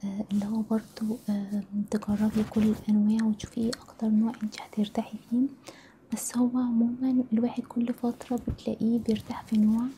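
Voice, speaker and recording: Soft-spoken and monotone, a woman with a fairly high voice speaks at a moderate pace. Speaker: hijab stylist. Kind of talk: ASMR role-play consultation. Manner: soft-spoken, friendly.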